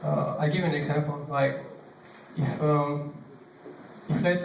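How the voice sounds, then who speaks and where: Over noticeable background noise and audible room echo, a man with a non-native accent speaks fairly slowly in a fairly high pitch with monotone, flat intonation. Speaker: bass player giving a clinic class. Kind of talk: workshop talk. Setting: church, live audience. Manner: hesitant, many fillers.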